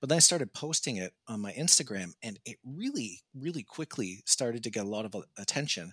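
On a very clean recording with a silent background, a man with a Canadian accent and an unremarkable speaking voice talks at a fairly quick pace with hardly any pauses, lively intonation and big swings in loudness. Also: medium pitch for a man, dry, close sound with no echo. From Canada. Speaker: razor designer and 3D video game artist. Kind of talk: casual interview.

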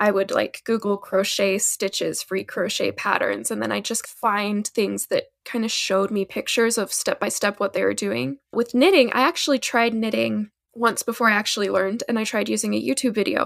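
A woman at a moderate pace with hardly any pauses, in a dry, close sound with no echo. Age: 20s. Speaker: fiber artist and small business owner. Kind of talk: casual interview.

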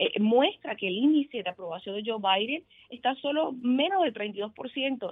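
The delivery has lively intonation at a moderate pace. It is a plain, everyday voice. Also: woman. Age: 20s. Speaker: political candidate. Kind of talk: interview.

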